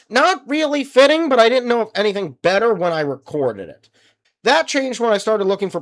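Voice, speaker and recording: This man's voice is captured in a very clean recording against a silent background. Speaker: gaming YouTuber. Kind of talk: video commentary. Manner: casual, conversational.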